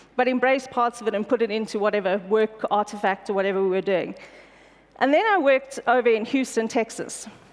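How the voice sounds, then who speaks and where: Fairly quick speech with ordinary pitch variation, set against noticeable background noise. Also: woman, fairly high pitch for a woman. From South Africa, Pretoria. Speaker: corporate executive. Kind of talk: conference keynote. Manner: fast.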